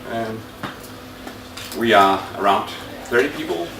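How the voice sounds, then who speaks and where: A man with a Danish accent at medium pitch and a moderate pace, with audible room echo and noticeable background noise. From Denmark. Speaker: IT consultant, conference presenter. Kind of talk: conference talk. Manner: halting, many fillers.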